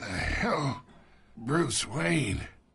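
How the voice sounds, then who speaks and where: A man puts on a raspy character voice at a medium pitch. It swings very widely in pitch. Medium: cartoon. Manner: sly, taunting.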